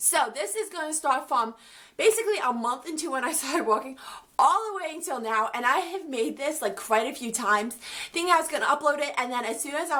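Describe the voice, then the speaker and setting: A woman speaks at a fairly quick pace with a high pitch and lively intonation. Her voice is raised and projected. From Ukraine. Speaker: vlogger. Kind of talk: storytime vlog. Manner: casual, filler-heavy.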